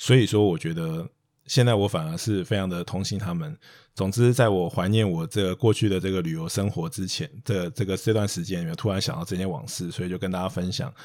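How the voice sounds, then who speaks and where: A man's very deep, low voice at a fairly quick pace, with ordinary pitch variation and a very clean recording on a silent background. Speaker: investment podcast host. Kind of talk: casual chat.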